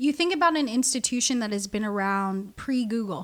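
Lively intonation marks the speech. It comes with an American accent. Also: woman. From US West Coast, Southern California (Orange County). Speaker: artist and curator. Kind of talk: casual interview.

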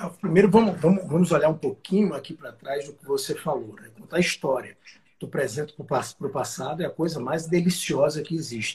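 A man with a fairly high voice speaks at a fairly quick pace with ordinary pitch variation. His loudness swings a lot. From Brazil, Northeast (Alagoas). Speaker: company president, franchise executive. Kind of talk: interview. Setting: live stream.

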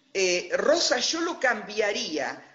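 A woman talks very slowly, with audible echo from the room. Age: 60s. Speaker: interviewee telling her life story. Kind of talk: testimony. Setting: video call.

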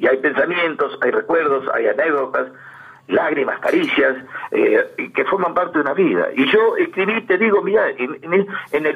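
A man with a Rioplatense accent speaks at a moderate pace. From Argentina, Berisso (Buenos Aires province). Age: 70s. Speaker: interviewee, amateur local history writer. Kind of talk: radio interview, reminiscing.

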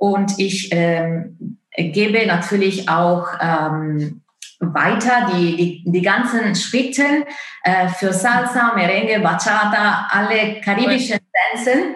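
The speaker talks very slowly in an Italian accent, with very even loudness. Audible room echo surrounds the voice. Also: woman, medium pitch for a woman, ordinary pitch variation. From Italy. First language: Italian (speaking German). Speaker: opera singer and dance course founder. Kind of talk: interview. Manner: halting, many fillers.

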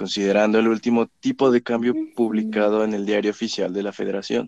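A man speaks at a moderate pace in a fairly low voice with a dark, mellow tone. The sound is dry and close, with no echo. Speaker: student presenter. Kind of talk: educational explanation.

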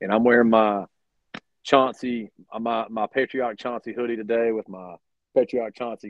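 A man at a moderate pace. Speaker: podcast host. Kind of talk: radio dj patter. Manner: animated, chatty.

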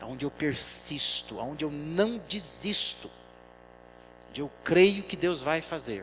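A man speaks at a fairly slow pace. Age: 40s. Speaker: pastor. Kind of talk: sermon.

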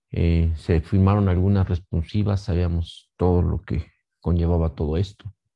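A man's dark, mellow tone at a fairly slow pace, with fairly even intonation. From Mexico, Pachuca, Hidalgo. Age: 50s. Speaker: bereaved family member. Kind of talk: testimony. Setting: pre-recorded video. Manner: halting.

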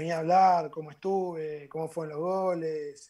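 A man speaks with monotone, flat intonation at a fairly high pitch. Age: 20s. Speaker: footballer. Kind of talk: casual chat.

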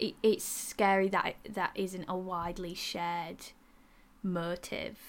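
In a very clean recording with a silent background, a woman with a strong Yorkshire accent speaks at a very slow pace and a medium pitch with ordinary pitch variation. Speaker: podcast co-host.

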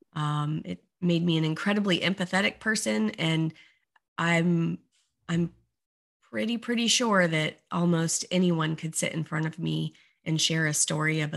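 On a very clean recording with a silent background, a woman speaks at a moderate pace in a very deep, low pitch. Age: 40s. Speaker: life coach and business founder. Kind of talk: podcast interview.

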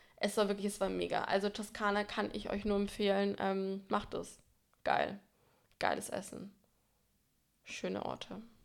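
Leaving long, frequent pauses, a woman talks at a fairly slow pace. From Franconia, Germany. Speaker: podcast co-host. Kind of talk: casual chat.

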